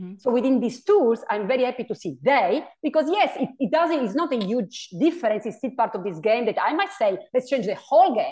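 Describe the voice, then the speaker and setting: A woman with an Italian accent talks at a fairly quick pace in a high voice, her pitch swinging very widely. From Italy. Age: 40s. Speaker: philosophy professor. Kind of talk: interview.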